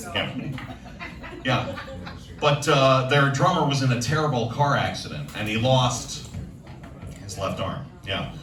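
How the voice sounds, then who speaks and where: With an American accent, a man speaks at a fairly slow pace in a fairly high pitch, using fairly even intonation and long, frequent pauses, over noticeable background noise. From Chicago area. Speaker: stand-up comedian. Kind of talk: stand-up comedy set.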